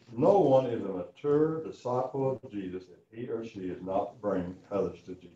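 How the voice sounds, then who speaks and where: A man's voice at medium pitch with lively intonation, a moderate pace, hardly any pauses, big swings in loudness and audible room echo. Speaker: Bible class teacher. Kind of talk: sermon. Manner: casual, folksy.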